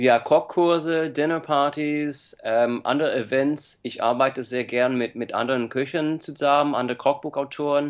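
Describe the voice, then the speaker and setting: A man with an English accent speaks at a fairly slow pace, at medium pitch, with fairly even intonation. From USA. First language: English (speaking German). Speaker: cookbook author. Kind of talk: interview. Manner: halting, many fillers.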